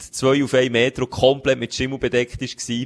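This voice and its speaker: In a Swiss accent, the voice comes through dry and close, with no echo. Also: man. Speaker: podcast co-host. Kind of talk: casual chat. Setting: home studio on a sofa.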